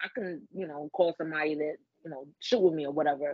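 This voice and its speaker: A woman with a New York accent talks at a fairly quick pace. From the Bronx, New York. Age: 20s. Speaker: adult content creator. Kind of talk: casual chat.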